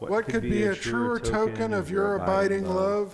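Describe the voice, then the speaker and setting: Noticeable background noise under a man talking at a fairly slow pace. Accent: American. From Texas. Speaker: rabbi. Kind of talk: religious service leading.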